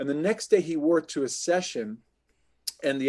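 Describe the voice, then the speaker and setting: A man with a normal speaking voice, fairly high for a man, talks with ordinary pitch variation. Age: 50s. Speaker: actor and voice actor. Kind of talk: casual chat.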